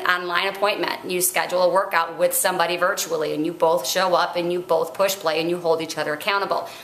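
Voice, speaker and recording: Fairly quick speech from a woman, with audible room echo. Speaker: fitness coach. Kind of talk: casual vlog chat. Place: home room. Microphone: webcam.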